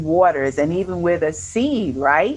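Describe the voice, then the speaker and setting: A woman's fairly low voice in a New York accent, at a fairly slow pace. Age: 50s. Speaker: retired army nurse turned entrepreneur. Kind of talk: interview.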